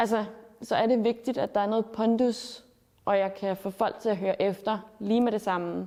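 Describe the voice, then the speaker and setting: A woman speaks at a moderate pace in an unremarkable speaking voice, her intonation fairly even and her loudness very even. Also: fairly high pitch for a woman. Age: 20s. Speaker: student and activist speaker. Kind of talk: interview testimony.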